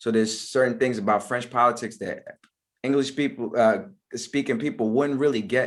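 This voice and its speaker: With an American accent, a man of medium pitch speaks at a moderate pace and with fairly even intonation in a very clean recording with a silent background. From US, Maryland / DC area. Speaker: rapper. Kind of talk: interview. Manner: halting, repetitive.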